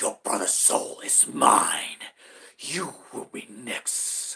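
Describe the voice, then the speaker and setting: Hissing and raspy, a man's put-on character voice crawls along at a very slow pace. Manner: menacing, subtle.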